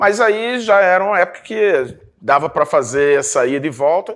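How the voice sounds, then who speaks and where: His pitch climbs and drops through very wide swings as the man talks. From Brazil, Rio de Janeiro (Botafogo). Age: 60s. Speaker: journalist. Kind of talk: interview. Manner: hesitant, many fillers.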